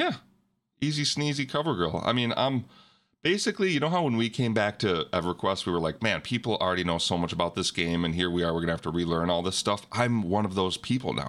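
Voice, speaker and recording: A man with a fairly low pitch talks very fast in a playful tone, keeping his loudness very even. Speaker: podcast host. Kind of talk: casual banter chat. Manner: joking, playful.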